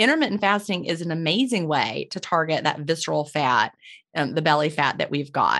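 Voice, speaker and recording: A woman talks at a fairly quick pace in an ordinary speaking voice against a quiet background. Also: fairly low pitch for a woman, lively intonation. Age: 50s. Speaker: intermittent fasting educator, former teacher. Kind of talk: interview.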